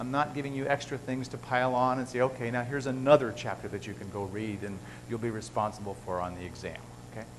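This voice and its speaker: A man at a very fast pace, with audible room echo. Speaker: biochemistry professor. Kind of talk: lecture.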